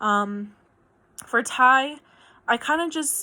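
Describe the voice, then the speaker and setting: A woman with an American accent speaks in a bright, sharp tone, and her pitch rises and falls in an ordinary way. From New Mexico, US (Albuquerque). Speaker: student. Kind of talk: video assignment monologue. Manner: hesitant, many fillers.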